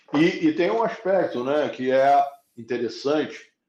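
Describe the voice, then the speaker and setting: Music plays in the background as a man with a fairly high pitch speaks at a fairly slow pace, his pitch swinging very widely. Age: 60s. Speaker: economics professor. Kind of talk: interview conversation.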